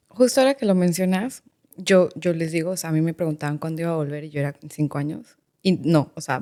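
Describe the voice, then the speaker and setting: Talking very fast with a Mexican accent, a woman has a fairly low pitch, a dark, mellow tone, ordinary pitch variation and big swings in loudness. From Mexico, Querétaro. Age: 30s. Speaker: lawyer and education advisor, migrant. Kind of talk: podcast interview.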